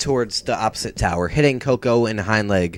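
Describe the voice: Ordinary pitch variation in plain reading aloud.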